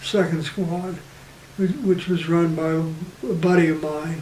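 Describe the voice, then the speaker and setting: A man with an American accent speaks fairly slowly at a high pitch in a monotone, flat intonation. There is audible room echo and noticeable background noise. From US, western Pennsylvania. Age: 80s+. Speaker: war veteran. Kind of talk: oral history interview. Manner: halting.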